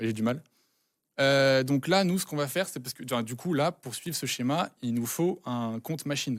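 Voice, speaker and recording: On a very clean recording with a silent background and a dry, close sound with no echo, a man speaks at a moderate pace with a medium pitch and ordinary pitch variation. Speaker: cybersecurity student presenting a write-up. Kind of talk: technical walkthrough on a live stream. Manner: halting, many hesitations.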